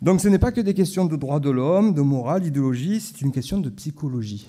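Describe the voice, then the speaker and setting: On a very clean recording with a silent background, a man speaks at a moderate pace. His voice is fairly high with a dark, mellow tone and lively intonation. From southern France, Marseille (Corsican roots). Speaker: historian and lecturer. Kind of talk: conference talk. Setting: conference hall with audience. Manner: hesitant, with frequent fillers and repetitions.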